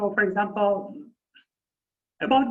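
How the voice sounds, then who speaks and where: A Persian accent at a moderate pace. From Iran. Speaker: university lecturer. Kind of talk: lecture. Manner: halting.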